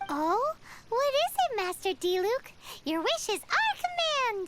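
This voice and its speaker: This squeaky, put-on character voice sits at an extremely high pitch. Loud background noise fills the recording. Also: fairly slow pace. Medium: machinima. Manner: excitable, chirpy.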